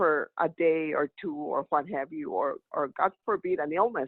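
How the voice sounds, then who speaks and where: Speaking at a fairly slow pace, the woman's pitch swings very widely. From Texas, Rio Grande Valley. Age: 70s. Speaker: public commenter, retired business manager. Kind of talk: public comment at a government meeting. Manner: halting, many fillers. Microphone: volume issue.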